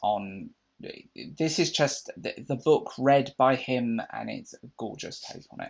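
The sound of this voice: At a fairly slow pace, a man speaks at a medium pitch with vocal fry.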